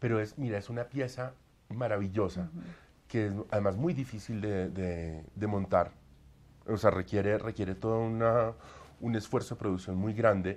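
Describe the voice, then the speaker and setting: The speaker is a man with a fairly low pitch. He talks at a moderate pace with ordinary pitch variation. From Colombia. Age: 30s. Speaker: opera singer; interviewee. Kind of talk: interview. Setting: at home. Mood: warm, enthusiastic. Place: home room. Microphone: lapel.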